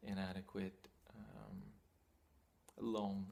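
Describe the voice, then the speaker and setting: The man speaks with a fairly low pitch. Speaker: spiritual teacher. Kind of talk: talking-head teaching monologue.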